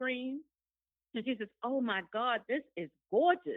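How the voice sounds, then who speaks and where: A woman uses a plain, everyday voice with lively intonation. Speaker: guest. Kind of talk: casual chat.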